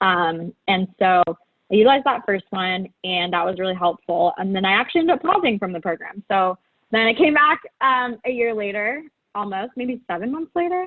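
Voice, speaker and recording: A woman at a moderate pace with lively intonation. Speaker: business school applicant. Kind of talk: interview. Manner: high energy; animated.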